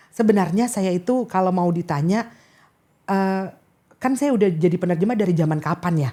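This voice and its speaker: A fairly low-pitched woman's voice at a moderate pace, lively in intonation, with a slight Makassar accent. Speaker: diplomat and state interpreter. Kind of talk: casual interview.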